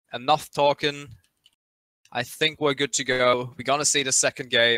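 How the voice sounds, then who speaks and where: A man with a German accent, bright and sharp in tone, monotone and flat in intonation, in a dry, close sound with no echo. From Germany. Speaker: esports caster. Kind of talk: live commentary. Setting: live stream.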